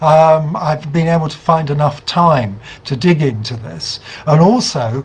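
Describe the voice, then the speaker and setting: The man's voice sits fairly high. He talks at a fairly slow pace. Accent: British. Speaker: investigative journalist. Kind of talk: online talk to campaign group. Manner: halting, many fillers.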